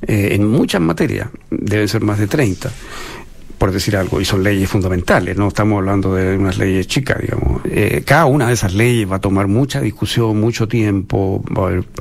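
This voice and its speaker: A man speaks at a fairly low pitch and a very even loudness, with noticeable background noise behind him. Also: ordinary pitch variation, moderate pace. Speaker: political analyst panelist. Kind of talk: political discussion.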